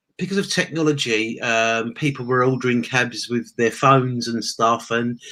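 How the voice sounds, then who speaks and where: This man, who has an English accent, speaks at a medium pitch. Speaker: former taxi driver, online entrepreneur. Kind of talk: interview testimony.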